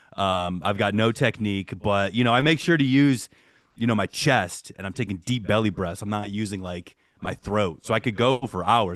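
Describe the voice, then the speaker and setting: With an American accent and an unremarkable speaking voice, a man talks at a fairly quick pace against a quiet background. His pitch sits fairly low. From Michigan. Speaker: metal musician. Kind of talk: podcast interview. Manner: casual, filler-heavy.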